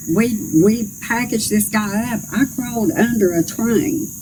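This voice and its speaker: A woman speaks in a north Georgia accent with a fairly high pitch. Noticeable background noise is present. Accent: Southern US (north Georgia). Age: 60s. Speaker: political candidate. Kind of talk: interview.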